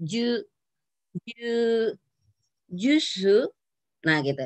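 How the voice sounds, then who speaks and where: A woman speaks against a quiet background, the sound dry with no echo. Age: 50s. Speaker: university lecturer of Japanese. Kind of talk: lecture. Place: home room. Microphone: video call.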